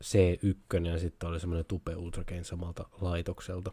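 In a very deep, low pitch, a man speaks with monotone, flat intonation and a somewhat breathy voice, the sound dry and close with no echo on a very clean recording with a silent background. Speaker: podcast host. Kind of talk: casual live-stream podcast monologue. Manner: rambling, runs off on tangents; halting, many fillers and restarts.

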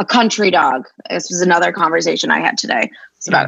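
Speaking at a very fast pace with an American accent, a woman has a medium pitch, a bright, sharp tone and lively intonation. Vocal fry shows up in her voice. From Boston area. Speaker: dog trainer. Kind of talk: casual chat.

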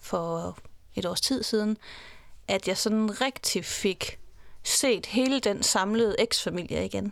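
The recording is very clean with a silent background, and the woman on it has a fairly high voice with ordinary pitch variation. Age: 40s. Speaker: divorced mother. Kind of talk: interview. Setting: studio.

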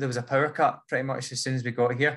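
With a Scottish accent, a man talks in a monotone, flat intonation at a medium pitch with a bright, sharp tone, on a very clean recording with a silent background. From Scotland. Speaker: runner. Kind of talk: podcast interview. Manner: fast.

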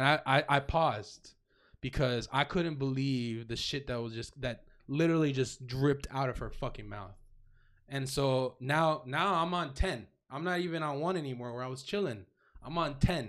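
In a very clean recording with a silent background, a man with an American accent and an ordinary speaking voice talks at a moderate pace, his fairly high pitch showing ordinary pitch variation. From Florida (Davie, Miami area). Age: young. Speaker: DJ and podcast co-host. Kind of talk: casual chat.

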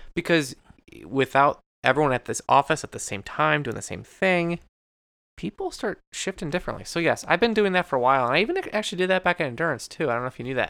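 Very fast and mumbling, the voice has a bright, sharp, playful tone and lively intonation, recorded dry and close with no echo on a very clean recording with a silent background. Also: man, fairly high pitch for a man. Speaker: podcast co-host. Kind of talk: casual chat. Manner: fast talker, mumbles; joking, playful.

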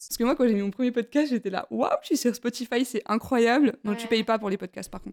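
Her voice fairly high, a woman races along very fast with hardly any pauses and ordinary pitch variation, the sound dry and close with no echo. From France, Besançon. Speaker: podcast host. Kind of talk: casual chat. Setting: at home, apartment. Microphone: poor sound quality.

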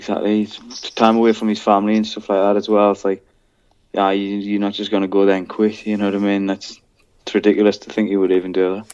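The speaker talks at a very fast pace in a northern English accent. The intonation stays monotone and flat. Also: man, fairly low pitch for a man. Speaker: MMA fighter. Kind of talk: casual chat.

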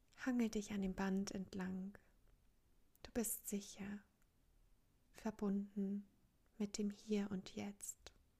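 A woman speaks at a very slow pace with long, frequent pauses, in a dark, mellow, gentle and calm tone. Her voice is somewhat breathy, with monotone, flat intonation. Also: medium pitch for a woman. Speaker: meditation coach. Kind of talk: guided meditation. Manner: calm, slow, soothing, with long pauses; gentle, inviting, addressing listener as du.

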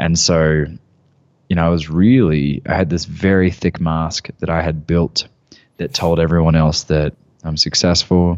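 Calm in tone, a man with an Australian accent speaks at a moderate pace in a very deep, low pitch and with fairly even intonation. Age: 20s. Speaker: men's work facilitator and former personal trainer. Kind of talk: casual interview chat. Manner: calm, grounded.

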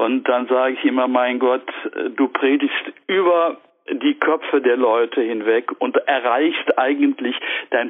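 A man at a very slow pace, with very even loudness and noticeable background noise. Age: 70s. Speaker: retired theology professor and priest. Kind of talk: interview. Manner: halting, many fillers.

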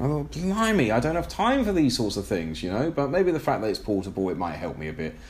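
A man's medium-pitched voice with an English accent, fairly quick and nearly pause-free, with very wide pitch swings and audible room echo. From England. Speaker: podcast host. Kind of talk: solo podcast monologue. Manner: hesitant, many fillers.

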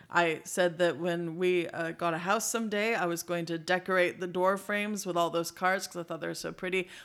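An ordinary speaking voice with an American accent moves at a fairly quick pace with hardly any pauses and fairly even intonation, in a very clean recording with a silent background. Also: woman, fairly low pitch for a woman. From United States. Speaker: board game podcast co-host. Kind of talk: casual chat.

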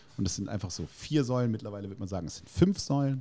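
The tone is dark and mellow. It belongs to a man whose pitch shifts in an ordinary way. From Germany, Heidelberg. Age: 40s. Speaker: burger restaurant owner. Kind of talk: casual interview. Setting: in person at his restaurant.

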